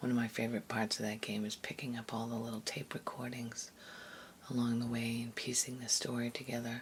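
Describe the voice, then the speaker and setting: Soft-spoken and somewhat breathy, a woman talks at a fairly quick pace in a very deep, low voice with monotone, flat intonation. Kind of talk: ASMR soft-spoken commentary.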